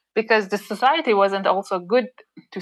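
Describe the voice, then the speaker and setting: A woman with a Persian accent, medium pitch and ordinary pitch variation. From Iran. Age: 30s. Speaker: cyclist. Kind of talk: interview. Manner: halting.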